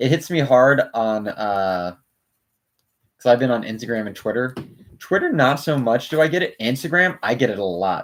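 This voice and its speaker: Mumbling at a moderate pace, a man with a medium pitch and lively intonation is heard on a very clean recording with a silent background. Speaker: YouTube co-host building Lego. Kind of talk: casual chat.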